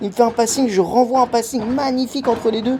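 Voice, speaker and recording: Speaking at a fairly quick pace in an animated tone, a man is heard over noticeable background noise. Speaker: amateur padel player and vlogger. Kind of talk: commentary over own match footage. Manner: fast; casual, animated.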